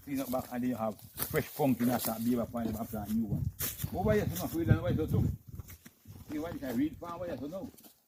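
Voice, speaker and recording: A man with a Jamaican accent talks very fast at medium pitch. His pitch varies in an ordinary way, and he leaves long, frequent pauses. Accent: Jamaican Patois. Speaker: farmer. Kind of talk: farm tour walkthrough.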